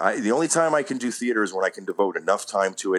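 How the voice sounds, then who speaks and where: Speaking at a fairly quick pace, a man with a medium-pitched voice uses lively intonation. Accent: New York. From New York. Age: 40s. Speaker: actor. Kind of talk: casual interview chat. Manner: animated.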